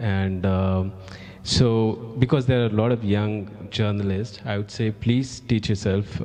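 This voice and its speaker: Speaking with an Indian accent at a very slow pace, a man uses a fairly low pitch and fairly even intonation, his tone dark and mellow. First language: Hindi. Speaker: journalist. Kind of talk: panel discussion.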